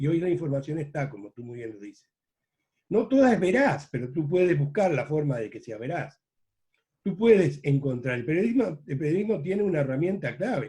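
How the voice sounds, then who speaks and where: A man talks at a fairly quick pace in a fairly high pitch, his dark, mellow, somewhat breathy tone carrying lively intonation and big swings in loudness. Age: 70s. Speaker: veteran journalist. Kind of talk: interview.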